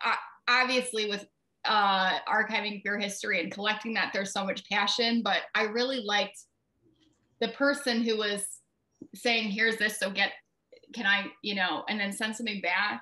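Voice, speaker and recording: A woman's fairly high voice with a Midwestern US accent, bright and sharp in tone, fairly even in intonation, with long, frequent pauses. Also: moderate pace. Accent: US Midwest. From Ohio, Brunswick near Cleveland. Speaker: writer and publisher. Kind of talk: interview.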